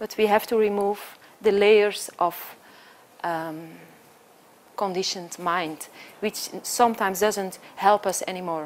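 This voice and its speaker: Speaking in a Flemish accent, a woman uses a medium pitch and fairly even intonation. She goes at a fairly slow pace with long, frequent pauses. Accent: Flemish Belgian. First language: Dutch (Flemish). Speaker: choreographer and dancer. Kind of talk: conference talk.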